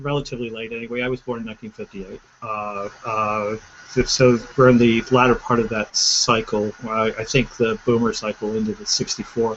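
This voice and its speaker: A moderate pace and fairly even intonation against noticeable background noise. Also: man. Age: 50s. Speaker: entrepreneur. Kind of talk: panel discussion. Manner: halting.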